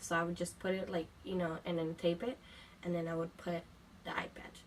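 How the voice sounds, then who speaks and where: Over noticeable background noise, a woman with a fairly low pitch talks at a fairly quick pace in a monotone, flat intonation. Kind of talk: casual talk to camera. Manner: casual, hesitant.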